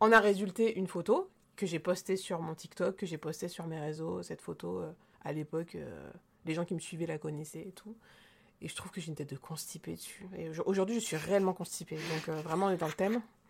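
Her pitch fairly low, a woman talks at a fairly quick pace with vocal fry and big swings in loudness. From rural central France. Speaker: podcast co-host. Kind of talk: casual chat. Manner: animated.

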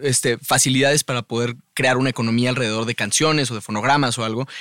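This man has a medium pitch and a bright, sharp tone with ordinary pitch variation. The recording is very clean with a silent background and a dry, close sound with no echo. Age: 30s. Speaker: musician. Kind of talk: casual chat. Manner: halting.

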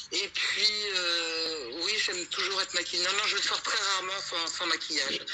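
Against noticeable background noise, a woman speaks at a fairly slow pace with a fairly low pitch and fairly even intonation. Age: 60s. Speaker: retiree. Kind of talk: interview.

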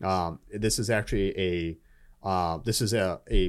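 On a very clean recording with a silent background, a man with a normal speaking voice talks at a fairly low pitch with ordinary pitch variation. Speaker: Marine veteran and political staffer. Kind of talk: casual chat. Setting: studio.

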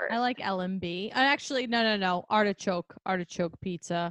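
Speaking at a fairly slow pace in a New York accent, a woman uses a medium pitch and ordinary pitch variation, the sound dry and close with no echo. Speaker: podcast host, speech-language pathologist. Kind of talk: casual chat. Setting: video call.

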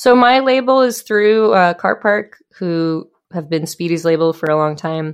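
In a normal speaking voice, a woman with a fairly low pitch talks at a fairly slow pace with lively intonation against a quiet background. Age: 30s. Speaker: musician. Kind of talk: casual chat.

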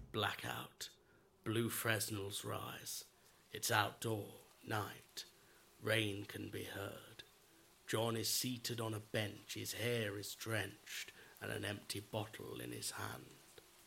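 A raspy, put-on character voice crawls along at a very slow pace. Its intonation stays monotone and flat. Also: man, fairly low pitch for a man. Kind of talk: theatrical stage directions.

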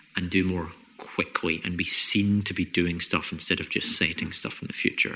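Scottish accent from a man with a very deep, low pitch, monotone and flat in intonation, at a moderate pace. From Scotland. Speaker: podcast host, comedian and environmental researcher. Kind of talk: casual chat.

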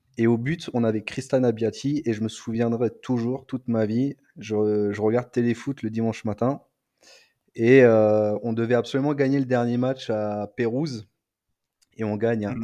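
Against a quiet background, a man's dark, mellow tone sits at a medium pitch with fairly even intonation. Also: fairly slow pace. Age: 30s. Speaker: football podcast panelist. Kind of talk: casual chat.

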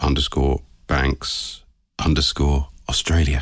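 Vocal fry runs through a man's voice, which has a very deep, low pitch. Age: 40s. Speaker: podcast host. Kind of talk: interview. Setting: hotel.

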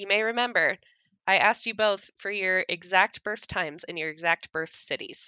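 A woman with a normal speaking voice talks at a moderate pace in a medium pitch, with fairly even intonation. Her loudness swings widely. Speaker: guest discussing astrology. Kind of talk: casual chat.

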